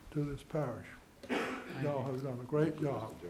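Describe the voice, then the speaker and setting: Speaking with an American accent, a man talks at a moderate pace with fairly even intonation, and audible room echo surrounds his voice. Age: 80s+. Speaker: landowner speaking at public comment. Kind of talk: public comment at council meeting. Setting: council meeting at a microphone. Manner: halting.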